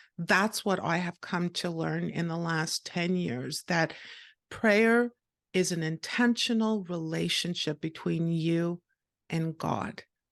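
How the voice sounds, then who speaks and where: In a Montreal accent, a woman with a fairly low pitch talks at a very slow pace, the sound dry and close with no echo and the background quiet. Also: ordinary pitch variation. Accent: Canadian English (Montreal). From Canada, Montreal. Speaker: podcaster and author. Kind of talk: interview.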